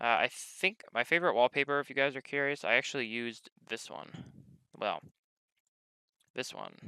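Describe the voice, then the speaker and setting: Heard in a dry, close sound with no echo, a man of medium pitch with a bright, sharp tone talks at a moderate pace, using ordinary pitch variation, long, frequent pauses and big swings in loudness. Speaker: tech YouTuber. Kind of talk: casual vlog talk. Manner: stammering, self-corrects; informal, swears casually.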